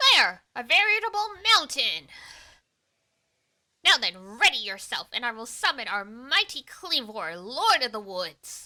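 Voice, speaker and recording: A woman's put-on character voice, high-pitched with very wide pitch swings, big swings in loudness, a moderate pace and long, frequent pauses. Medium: virtual streamer. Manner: formal, dignified.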